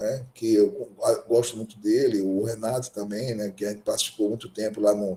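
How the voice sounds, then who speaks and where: This man's voice has a dark, mellow tone, sounds somewhat breathy, and moves through ordinary pitch variation. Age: 60s. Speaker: gynecologist and obstetrician lecturer. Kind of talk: lecture. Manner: halting.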